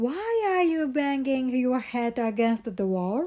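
A female-sounding put-on character voice comes at a fairly slow pace and high pitch. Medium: read story. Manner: gentle.

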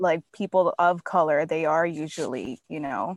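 Recorded very cleanly with a silent background and a dry, close sound free of echo, a woman speaks with a Miami accent. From Miami, Florida. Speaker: friend of the host. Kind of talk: casual chat.

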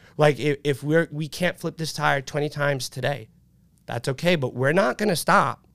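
An animated man with a fairly high pitch speaks at a moderate pace with ordinary pitch variation, on a very clean recording with a silent background and a dry, close sound with no echo. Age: 30s. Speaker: youth fitness coach and business owner. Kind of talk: casual chat.

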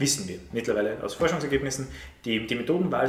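Against noticeable background noise and audible room echo, a man talks at a very fast pace. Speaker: teacher. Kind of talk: casual chat.

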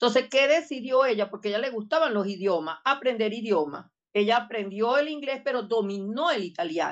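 With a plain, everyday voice, a woman talks at a fairly quick pace in a fairly high pitch, using lively intonation and hardly any pauses. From Venezuela, Barinas. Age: 60s. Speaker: education technology professor. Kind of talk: interview.

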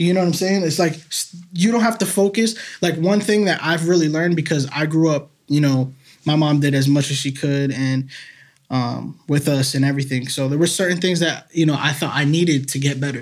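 A man speaks in an ordinary speaking voice with an American accent at a fairly high pitch. His pace is fairly quick, with ordinary pitch variation and very even loudness. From Massachusetts (Salem). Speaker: local songwriter and musician. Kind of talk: casual chat. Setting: studio.

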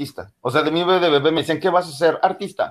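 Very fast speech from a man, recorded very cleanly against a silent background. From Mexico City area. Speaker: singer and actor. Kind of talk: interview.

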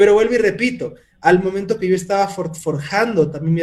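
Ordinary pitch variation marks this man's speech, delivered at a fairly quick pace. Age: 30s. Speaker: entrepreneur and mentor. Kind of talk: interview. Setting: video call.

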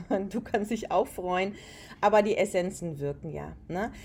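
A woman at a fairly slow pace and a medium pitch, with a plain, everyday voice. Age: 40s. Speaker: aroma and wellness consultant. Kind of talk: casual interview.

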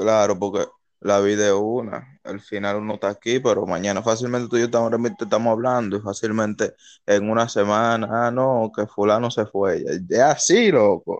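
A normal speaking voice: a man at medium pitch, moderate pace and fairly even intonation, over a quiet background. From Dominican Republic, Santo Domingo (Los Minas). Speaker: podcast co-host. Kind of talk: casual chat.

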